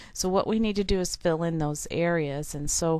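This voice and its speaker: A woman's plain, everyday voice, fairly low in pitch, at a fairly slow pace with fairly even intonation over a quiet background. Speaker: software tutorial teacher. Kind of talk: tutorial. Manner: frequent fillers (um, uh).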